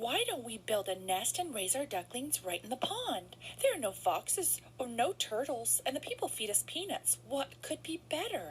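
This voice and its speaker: In a put-on character voice, the speaker goes at a moderate pace with hardly any pauses, over clear background noise. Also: woman. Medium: read story.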